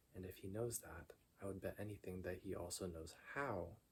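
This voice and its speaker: A soft-spoken man whispers at a moderate pace, sounding somewhat breathy. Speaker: ASMR creator. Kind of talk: story narration. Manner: soft-spoken, whispery.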